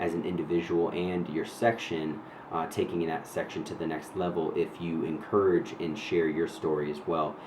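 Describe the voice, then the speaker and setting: An American accent at a moderate pace, with audible room echo and noticeable background noise. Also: man. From New Hampshire, US New England. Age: 30s. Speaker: vlogger. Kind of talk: personal storytelling monologue. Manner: casual with many fillers.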